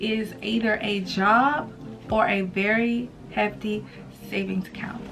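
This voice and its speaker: A woman's fairly high pitch comes through against noticeable background noise. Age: 20s. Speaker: YouTuber, student and mother. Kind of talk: casual talk to camera. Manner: casual, chatty.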